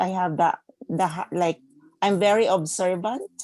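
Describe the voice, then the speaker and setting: A woman speaks in a non-native accent at a medium pitch with a dark, mellow tone. Her pace is moderate, her intonation fairly even, and the sound dry and close with no echo. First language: not English. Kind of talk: casual chat.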